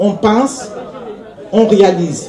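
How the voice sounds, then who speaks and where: A woman with a medium pitch and ordinary pitch variation speaks amid audible room echo and crowd noise in the background. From Cameroon. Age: 60s. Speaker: author and poet. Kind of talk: award acceptance speech. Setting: stage with audience. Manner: halting.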